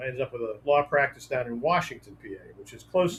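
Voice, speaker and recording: Somewhat breathy and fairly high in pitch, a man's voice shows ordinary pitch variation. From Western Pennsylvania, near Pittsburgh. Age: 70s. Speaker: author and trial attorney. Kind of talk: interview. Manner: hesitant with fillers.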